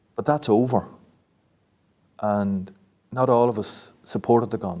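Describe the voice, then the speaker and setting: This man has a Northern Irish accent and a dark, mellow tone. His pitch varies in an ordinary way. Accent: South Armagh Irish. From South Armagh, Northern Ireland. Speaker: local resident. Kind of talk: interview testimony.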